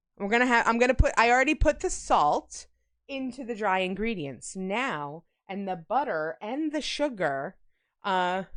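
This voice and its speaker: Loud and at a moderate pace, a woman with a slight Long Island accent speaks at a fairly high pitch with very wide pitch swings. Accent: slight New York accent, sounds Long Island. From New York. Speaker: streamer. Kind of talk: live-stream baking chat. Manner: casual, chatty.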